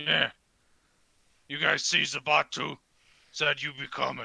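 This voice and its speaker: A put-on character voice, raspy and at a fairly slow pace. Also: man, fairly high pitch for a man. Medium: actual play. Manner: clipped, broken grammar.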